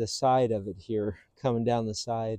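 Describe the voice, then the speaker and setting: Dry with no echo, a man's dark, mellow voice holds a monotone, flat intonation. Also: quiet background. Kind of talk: tutorial. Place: street.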